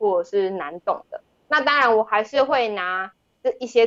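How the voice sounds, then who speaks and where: In a Taiwanese accent, a woman speaks at fairly high pitch with a dry, close sound and no echo. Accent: Taiwanese Mandarin. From Taiwan, Tainan. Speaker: documentary director. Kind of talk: interview. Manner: low energy.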